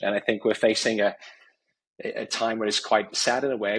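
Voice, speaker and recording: With an English accent, a man speaks at a moderate pace in a fairly low pitch, his tone bright and sharp. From England, Warwickshire. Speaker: company CEO. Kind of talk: podcast interview.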